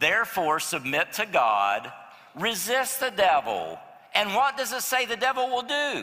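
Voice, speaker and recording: At an extremely high pitch, a man uses a raised, projected voice with lively intonation and a fairly slow pace. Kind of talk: sermon, preacher in full flow, urgent and pleading. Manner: animated, emphatic, building intensity; conversational, direct appeals to the congregation.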